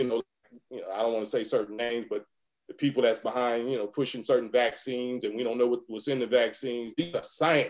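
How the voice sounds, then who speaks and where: An ordinary speaking voice from a man with an American accent, medium in pitch, at a fairly quick pace with fairly even intonation. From US West Coast. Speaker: rapper. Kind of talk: interview answer.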